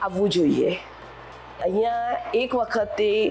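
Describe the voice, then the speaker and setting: Very wide pitch swings mark this woman's speech over noticeable background noise. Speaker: retired teacher, resident. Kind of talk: testimonial interview.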